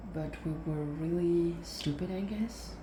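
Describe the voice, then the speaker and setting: Background noise is clearly audible as a woman speaks softly. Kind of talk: ASMR soft-spoken rambling while crafting; casual storytelling. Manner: soft-spoken.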